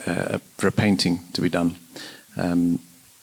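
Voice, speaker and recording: Noticeable background noise sits behind the speaker. He is a man talking at a moderate pace. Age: 60s. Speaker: churchgoer sharing faith story. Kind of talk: personal testimony. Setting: church, interview on sofa.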